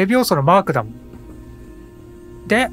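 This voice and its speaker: A man speaks at a high pitch for a man, his pitch swinging very widely over music in the background. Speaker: gaming commentator. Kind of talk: casual let's play commentary. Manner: calm, occasionally loud when startled.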